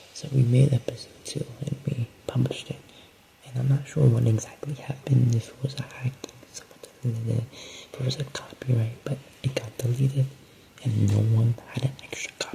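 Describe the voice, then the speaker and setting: A soft-spoken man at medium pitch, with fairly even intonation and a moderate pace, against noticeable background noise. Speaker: podcast host. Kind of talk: casual monologue update. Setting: at home at night. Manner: halting.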